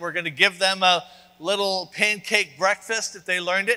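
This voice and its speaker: Projecting his raised voice, a man speaks at a moderate pace with fairly even intonation. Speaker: preacher. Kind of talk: sermon. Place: church.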